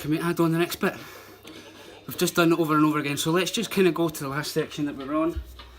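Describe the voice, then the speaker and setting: Someone speaks with a Scottish accent over noticeable background noise. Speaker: breakdance teacher. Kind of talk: tutorial. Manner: animated.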